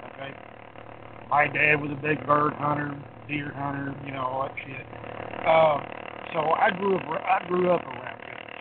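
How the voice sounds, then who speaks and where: Amid audible room echo and noticeable background noise, a man with a fairly high pitch talks at a moderate pace with fairly even intonation, big swings in loudness and long, frequent pauses. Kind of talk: casual chat.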